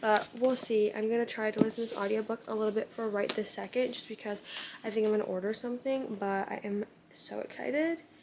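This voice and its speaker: Very fast speech runs over noticeable background noise. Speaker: book vlogger. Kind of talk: casual vlog talk. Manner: chatty.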